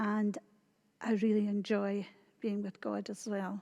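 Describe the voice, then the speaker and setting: A woman speaks with a Scottish accent and a dark, mellow tone. Her intonation is monotone and flat. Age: 60s. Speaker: church member. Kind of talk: testimony.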